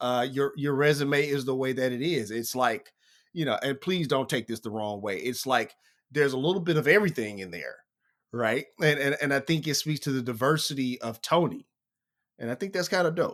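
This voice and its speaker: A normal speaking voice at a fairly quick pace, with an American accent, in a very clean recording with a silent background. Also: man, fairly high pitch for a man, ordinary pitch variation. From United States. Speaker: podcast host. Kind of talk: interview.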